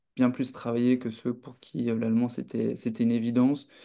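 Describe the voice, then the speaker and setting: A man talks at a moderate pace and a medium pitch. His tone is dark and mellow, and his intonation is monotone and flat. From France. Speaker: student association representative. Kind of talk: online talk answering questions. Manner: hesitant, many fillers.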